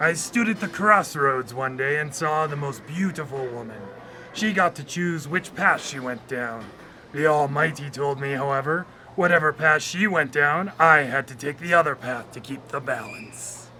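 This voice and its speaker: A man puts on a character voice at a fairly high pitch. Clear background noise can be heard. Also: moderate pace. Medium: audio drama. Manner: dry, sarcastic.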